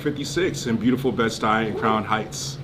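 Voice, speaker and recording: A man speaks at a moderate pace with ordinary pitch variation. Room echo is audible, and so is background noise. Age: 40s. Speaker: political candidate. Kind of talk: casual interview. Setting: in-person livestream. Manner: animated.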